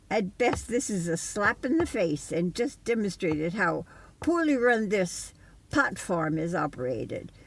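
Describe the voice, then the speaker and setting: With vocal fry and very wide pitch swings, a woman speaks at a medium pitch and a fairly slow pace in a very clean recording with a silent background. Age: 80s+. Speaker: retired registered nurse. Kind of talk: personal testimony to camera.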